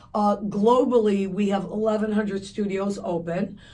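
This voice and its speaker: Audible room echo surrounds a woman's voice. Her pitch is medium and her intonation is monotone and flat. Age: 60s. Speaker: fitness company founder. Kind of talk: radio interview.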